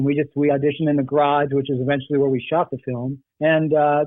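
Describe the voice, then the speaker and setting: A man's fairly high voice at a very fast pace. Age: 60s. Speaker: actor. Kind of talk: interview.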